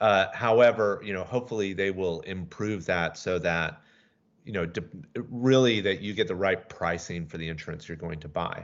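A man with an unremarkable speaking voice talks at a moderate pace in a fairly low pitch, showing ordinary pitch variation and big swings in loudness. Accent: American. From US South, Atlanta. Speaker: tech startup founder and CEO. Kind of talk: interview.

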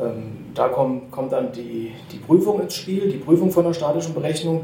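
A man speaks at a moderate pace with ordinary pitch variation, his voice carrying audible room echo over noticeable background noise. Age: 40s. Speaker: structural engineer. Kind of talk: interview. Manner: halting.

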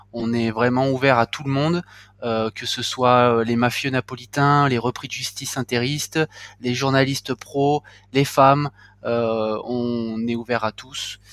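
The man speaks at a very slow pace with monotone, flat intonation. His medium-pitched voice sounds dry and close, with no echo. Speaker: football podcast co-host. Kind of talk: casual chat.

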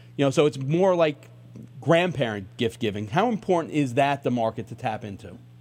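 With lively intonation and a fairly quick pace, a man talks in an ordinary speaking voice at medium pitch. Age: 50s. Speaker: radio sports talk host. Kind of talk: radio interview.

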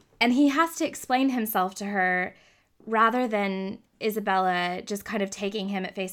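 In an American accent, a plain, everyday voice speaks at a moderate pace with ordinary pitch variation, in a very clean recording with a silent background. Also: woman. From Texas. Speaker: podcast host. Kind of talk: casual interview.

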